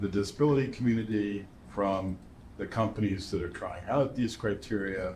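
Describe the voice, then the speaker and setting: A somewhat breathy man speaks with fairly even intonation amid audible room echo. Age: 70s. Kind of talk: interview. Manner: halting, with many fillers.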